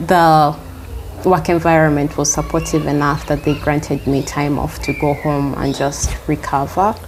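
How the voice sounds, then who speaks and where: A soft-spoken woman at a moderate pace, with noticeable background noise. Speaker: healer and teacher. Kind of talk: interview answer.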